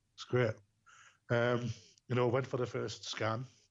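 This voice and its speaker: A man speaks at a moderate pace with a strong Geordie accent. His voice is somewhat breathy. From northern England, Newcastle. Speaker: bereaved father. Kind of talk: podcast interview, personal story. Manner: hesitant, many fillers.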